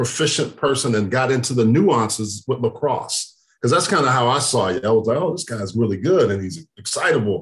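A man with an American accent talks at a moderate pace and a medium pitch. His voice is somewhat breathy, with lively intonation. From Texas. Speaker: podcast host, former NFL player. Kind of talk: casual interview chat.

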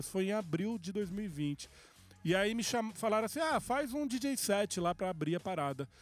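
A man's fairly quick speech with very wide pitch swings. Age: 40s. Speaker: music producer. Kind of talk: casual chat.

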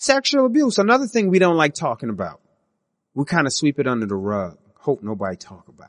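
Very fast speech with very wide pitch swings, the sound dry and close with no echo. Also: man, fairly high pitch for a man. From US, West Indian family. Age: 30s. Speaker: podcast host, military veteran. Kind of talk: solo monologue podcast. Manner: casual, with frequent fillers and restarts.

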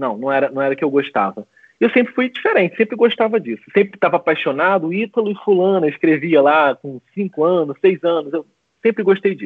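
This man's pitch sits high, and his intonation is lively. He talks at a fairly quick pace. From Brazil, Macaé, Rio de Janeiro state. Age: 30s. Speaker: relationship coach. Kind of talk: casual interview on a livestream.

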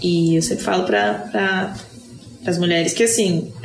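A woman keeps a moderate pace while noticeable noise fills the background. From Brazil, Brasília. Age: 30s. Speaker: podcast co-host. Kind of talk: casual chat. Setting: in person, recorded live together.

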